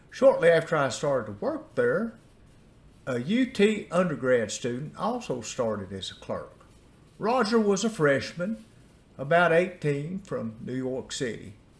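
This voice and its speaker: With an Appalachian accent, a man talks in a high pitch, his voice making very wide pitch swings. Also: fairly slow pace. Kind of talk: personal storytelling.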